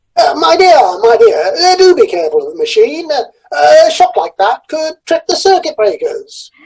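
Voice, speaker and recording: The voice is a put-on character with an extremely high pitch. It moves at a moderate pace. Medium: audio drama. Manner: hesitant, full of "uh" fillers.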